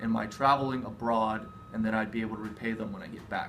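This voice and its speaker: Noticeable background noise and audible room echo surround the recording. A man with an American accent speaks with fairly even intonation. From USA. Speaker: study abroad alumnus, university student. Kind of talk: interview. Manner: exaggerated vowels.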